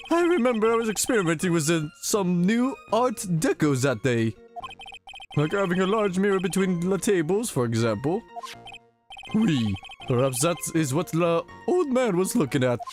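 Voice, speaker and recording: A man performs a put-on character voice at a high pitch with very wide pitch swings, keeping very even loudness at a moderate pace. Long, frequent pauses break it up over faint background music. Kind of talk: comic overacting. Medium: game stream. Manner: theatrical, flamboyant.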